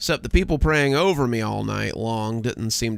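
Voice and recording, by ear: Someone reads aloud in a natural voice. The pitch varies in an ordinary way.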